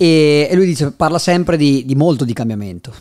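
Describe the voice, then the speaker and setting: A man speaks at a fairly quick pace with lively intonation against a quiet background. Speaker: podcast host. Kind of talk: podcast interview. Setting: studio in Milan. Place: studio. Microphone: studio mic.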